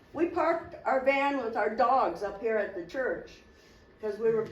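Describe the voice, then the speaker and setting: There is audible room echo as a woman speaks in a high pitch with very wide pitch swings. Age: 60s. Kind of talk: testimony.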